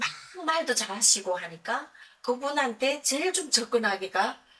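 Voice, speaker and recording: In a strong North Korean accent, a woman speaks very slowly in a raised, projected voice, her high pitch swinging very widely. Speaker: YouTuber, North Korean defector singer. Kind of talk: personal storytelling vlog. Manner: conversational, with many self-corrections.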